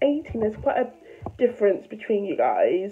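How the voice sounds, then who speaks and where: A woman speaks with a fairly high voice. There is noticeable background noise. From London. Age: young. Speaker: vlogger. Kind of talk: casual talk to camera.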